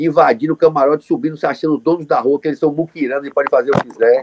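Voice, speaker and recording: A man rattles off his words very fast, his pitch fairly high. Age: 50s. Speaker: journalist and event producer. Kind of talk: interview. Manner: animated.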